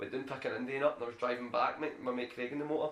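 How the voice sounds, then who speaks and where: Speaking at a very fast pace, a man talks with a Glaswegian accent. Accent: Glaswegian Scottish. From Scotland, Glasgow. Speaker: bricklayer. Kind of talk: casual podcast chat.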